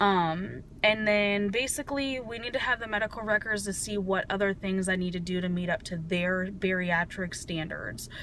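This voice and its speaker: With hardly any pauses, a woman speaks at a medium pitch with ordinary pitch variation. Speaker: vlogger. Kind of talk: personal video diary. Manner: fast.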